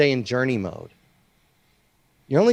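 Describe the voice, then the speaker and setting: Someone speaks at a fairly quick pace in an animated tone with ordinary pitch variation. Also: man. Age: 40s. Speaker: business coach. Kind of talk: casual chat.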